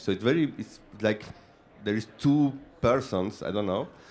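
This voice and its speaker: This man has an Argentine accent. His intonation is lively. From Argentina. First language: Spanish. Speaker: film director. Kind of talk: panel Q&A. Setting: stage with audience. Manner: halting, searching for words.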